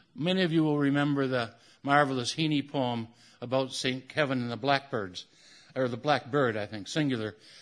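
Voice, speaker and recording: A man with an unremarkable speaking voice talks at a fairly quick pace and a medium pitch. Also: ordinary pitch variation. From US Midwest, Michigan. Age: 60s. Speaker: poet. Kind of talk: poetry reading. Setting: stage with audience.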